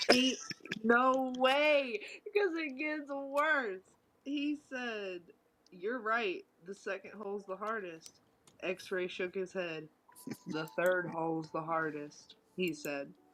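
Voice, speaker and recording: With a Southern US accent, a woman talks very slowly in a fairly high voice, her pitch swinging very widely and her speech broken by long, frequent pauses. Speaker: streamer. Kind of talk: reading aloud.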